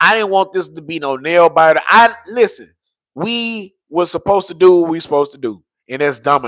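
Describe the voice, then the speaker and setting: A man's raised, projected voice, bright and sharp, animated, with very wide pitch swings at a moderate pace. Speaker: sports fan streamer. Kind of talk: live stream commentary. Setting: live stream. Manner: casual, animated.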